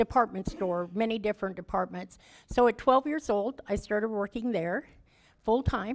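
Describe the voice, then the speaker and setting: Someone with a Midwestern American accent talks at a moderate pace with ordinary pitch variation on a very clean recording with a silent background. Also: woman. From Kansas City, Kansas. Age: 60s. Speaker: recovery speaker and housing charity founder. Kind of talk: testimony. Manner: casual, conversational.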